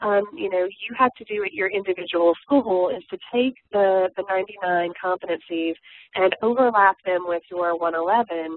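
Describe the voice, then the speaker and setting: Speaking at a moderate pace, a woman uses a normal speaking voice at medium pitch with ordinary pitch variation. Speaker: community college instructor. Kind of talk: webinar presentation. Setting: webinar. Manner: many filler words.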